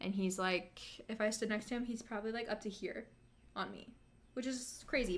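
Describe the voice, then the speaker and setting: The tone is animated, bright and sharp. The pace is moderate. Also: woman. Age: 20s. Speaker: YouTuber. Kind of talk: live stream chat. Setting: live stream.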